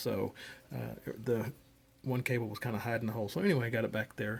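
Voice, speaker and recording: Soft-spoken, a man of medium pitch talks at a moderate pace with fairly even intonation. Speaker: ham radio hobbyist. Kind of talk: tutorial. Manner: casual, hesitant with fillers.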